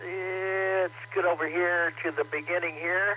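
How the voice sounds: A man talks slowly in a high voice. There is little pitch movement.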